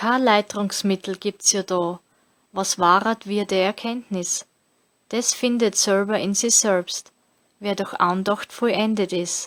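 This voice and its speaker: In a Styrian accent, a woman at a medium pitch speaks in a monotone, flat intonation at a very slow pace, with dry, close sound with no echo on a very clean recording with a silent background. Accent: Styrian Austrian German dialect. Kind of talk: scripture reading.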